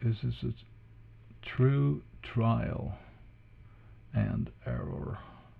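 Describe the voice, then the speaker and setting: A man with a non-native accent speaks at a very slow pace with long, frequent pauses. His very deep, low pitch swings very widely, and he sounds somewhat breathy. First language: not English. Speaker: drawing tutorial creator. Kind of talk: tutorial. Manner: halting.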